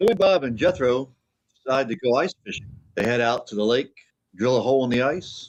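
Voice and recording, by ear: Against a quiet background, the speaker is reading aloud in a natural voice, and the intonation is lively.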